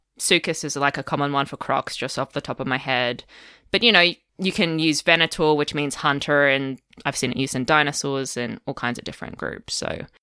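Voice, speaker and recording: A woman with an Australian accent, a very deep, low pitch, ordinary pitch variation and a bright, sharp tone at a fairly quick pace, in a very clean recording with a silent background and a dry, close sound with no echo. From Australia, Melbourne. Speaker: paleontologist. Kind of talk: casual interview chat.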